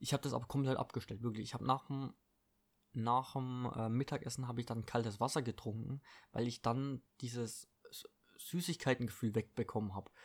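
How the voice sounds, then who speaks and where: On a very clean recording with a silent background, a man with an unremarkable speaking voice talks fairly quickly at medium pitch with fairly even intonation. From Baden-Württemberg, Germany (Eppingen, Heilbronn district). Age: 20s. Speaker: podcast host and fitness trainer. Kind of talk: casual solo monologue. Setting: at home. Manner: casual, filler-heavy.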